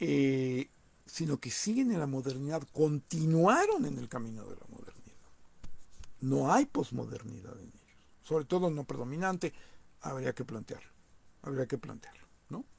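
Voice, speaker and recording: There are long, frequent pauses as a man speaks at a fairly high pitch. His voice is somewhat breathy, with big swings in loudness. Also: ordinary pitch variation, moderate pace. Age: 60s. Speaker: political commentator. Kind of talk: monologue commentary. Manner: halting, many repetitions.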